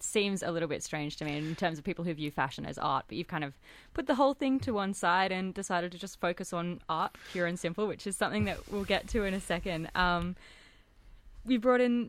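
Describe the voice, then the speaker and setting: A woman talks at a very fast pace with an Australian accent and lively intonation. Her pitch sits in the medium range, and the recording is very clean with a silent background. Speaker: radio host. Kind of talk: radio DJ patter, show intro and outro. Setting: radio studio. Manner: friendly, chatty, fluent.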